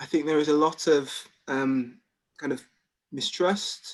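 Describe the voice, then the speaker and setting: The speaker has a Birmingham accent, talking at a fairly slow pace with ordinary pitch variation. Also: man. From England, Birmingham. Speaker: doctor. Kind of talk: presentation. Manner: halting, many repeated words.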